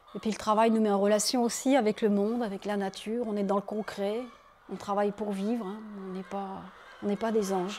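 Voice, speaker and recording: A woman's medium-pitched, monotone voice at a fairly quick pace, with noticeable background noise. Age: 40s. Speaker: nun. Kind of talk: interview testimony. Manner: casual, conversational.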